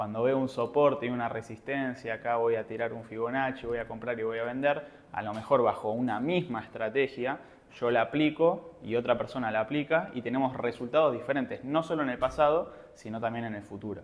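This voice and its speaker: The man talks at a fairly quick pace. His medium-pitched voice shows ordinary pitch variation. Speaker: trading educator. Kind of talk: seminar lecture. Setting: live seminar with audience. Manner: fast.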